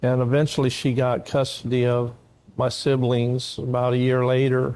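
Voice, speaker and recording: With an American accent, a man speaks in a flat monotone at medium pitch. His loudness stays very even. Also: moderate pace. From California. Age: 60s. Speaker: prisoner giving testimony. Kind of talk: testimony. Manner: halting, many fillers.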